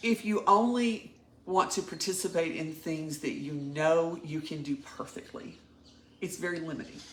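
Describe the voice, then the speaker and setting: At a moderate pace, a woman talks with ordinary pitch variation. Noticeable background noise is present. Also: fairly low pitch for a woman. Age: 60s. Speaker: coaching client. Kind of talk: personal testimony.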